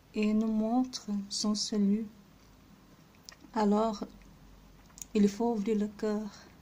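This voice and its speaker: A woman with a non-native accent speaks at a very slow pace, her fairly high voice held in a monotone, flat intonation. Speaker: religious video creator. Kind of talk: devotional reflection. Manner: halting.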